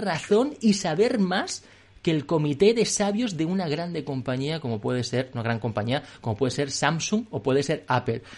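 A man speaks at a fairly slow pace with a fairly high pitch and very wide pitch swings. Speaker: podcast host. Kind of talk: casual chat. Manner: animated.

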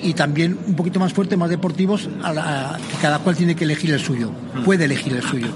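With noticeable background noise and audible room echo, a man talks fairly quickly in a fairly high voice with ordinary pitch variation. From Basque Country, San Sebastián. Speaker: cycling club leader. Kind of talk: interview.

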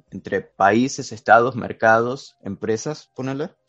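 Music plays in the background as a man talks at a fairly slow pace. The sound is dry and close with no echo. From Argentina. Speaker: podcast guest presenting a philosophy topic. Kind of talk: casual chat. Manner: halting.

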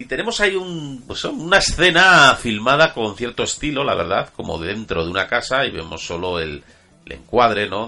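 With music in the background, a man's voice leaps through very wide pitch swings. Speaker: podcast host. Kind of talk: casual chat. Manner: halting, repeats words.

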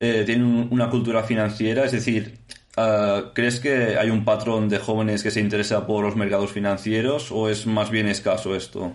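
A man with a Spanish accent speaks at a fairly low pitch in a monotone, flat intonation and very even loudness, with audible room echo. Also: moderate pace. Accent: Peninsular Spanish. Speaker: podcast host. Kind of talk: casual interview.

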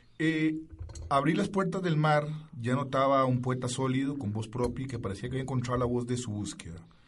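There is audible room echo around this man's voice. He speaks at a fairly quick pace with ordinary pitch variation. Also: medium pitch for a man. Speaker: radio host. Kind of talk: radio interview.

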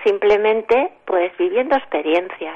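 Pitched fairly high, a woman speaks at a fairly slow pace with lively intonation. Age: 60s. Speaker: writer. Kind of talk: radio interview.

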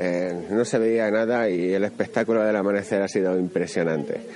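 A man at a moderate pace with ordinary pitch variation, against noticeable background noise. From Extremadura, Spain. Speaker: radio host. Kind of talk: travel radio report. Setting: on location.

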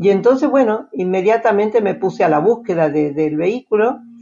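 At a moderate pace, a woman talks with an Argentine accent. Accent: Argentine Spanish (Rioplatense). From Argentina. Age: 80s+. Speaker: retiree traveling by motorhome. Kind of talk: interview.

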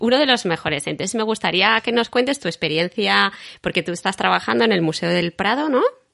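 This woman's voice has a bright, sharp tone, some vocal fry and a medium pitch, with very wide pitch swings. She speaks at a fairly quick pace against a quiet background. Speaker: podcast host and artist. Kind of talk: casual interview chat.

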